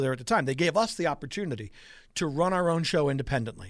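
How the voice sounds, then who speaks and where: An ordinary speaking voice from a man with an American accent, fairly high in pitch, with lively intonation at a fairly quick pace, on a very clean recording with a silent background. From Long Island, New York. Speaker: retiring sports radio host. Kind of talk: interview.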